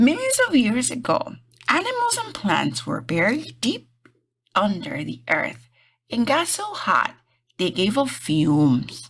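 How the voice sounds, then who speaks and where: Putting on a character voice, a woman speaks at a fairly slow pace with fairly high pitch. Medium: read story.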